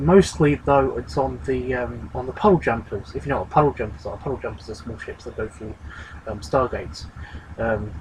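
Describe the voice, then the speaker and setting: Noticeable background noise sits behind a man whose fairly quick speech rises and drops sharply in loudness. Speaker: video blogger discussing sci-fi movie. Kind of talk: casual monologue. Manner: fast; hesitant, many fillers.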